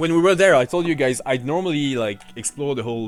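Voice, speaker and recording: The speaker talks at a very fast pace with lively intonation. Music plays in the background. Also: man. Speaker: gaming streamer. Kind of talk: live gameplay commentary. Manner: talkative, casual.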